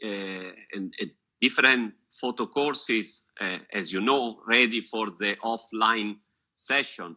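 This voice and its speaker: Speaking with an Italian accent, a man has a medium pitch, a bright, sharp tone, and ordinary pitch variation. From Italy. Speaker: photographer and photography teacher. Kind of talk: casual chat. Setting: video call. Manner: halting.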